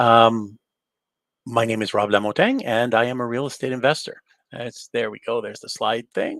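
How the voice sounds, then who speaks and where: In an ordinary speaking voice, a medium-pitched man talks at a moderate pace with fairly even intonation and big swings in loudness. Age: 60s. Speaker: real estate investor and mentor. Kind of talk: webinar presentation.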